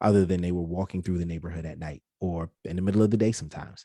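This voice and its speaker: In a New York accent, a man with a very deep, low pitch and a dark, mellow tone speaks at a fairly quick pace with ordinary pitch variation, in a very clean recording with a silent background and a dry, close sound with no echo. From New York City, Brooklyn. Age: 30s. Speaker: podcast producer. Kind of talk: interview.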